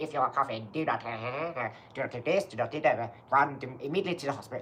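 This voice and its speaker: A man puts on a character voice at a fairly high pitch and a fairly quick pace. Clear background noise runs underneath. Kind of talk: formal broadcast. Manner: urgent, alarmed.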